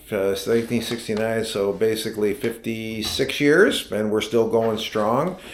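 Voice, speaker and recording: A medium-pitched man with an American accent, with audible room echo. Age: 60s. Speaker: vlogger and equipment business owner. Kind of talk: casual vlog introduction. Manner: halting, many fillers.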